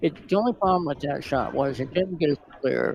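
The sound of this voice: A soft-spoken man talks at a fairly quick pace, his voice croaky with vocal fry and a slightly mellow tone. His pitch varies in an ordinary way.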